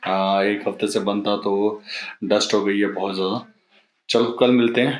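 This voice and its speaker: A man speaks at a fairly low pitch and a fairly slow pace. His intonation is monotone and flat. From India. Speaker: travel vlogger. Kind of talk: travel vlog. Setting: airport and in flight; at home. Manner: hesitant, many fillers.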